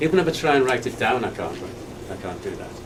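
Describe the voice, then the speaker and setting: Noticeable background noise and audible room echo surround a man with a Liverpool accent and lively intonation. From England, Liverpool. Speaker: person living with Alzheimer's. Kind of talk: testimony. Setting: staff training session. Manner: halting.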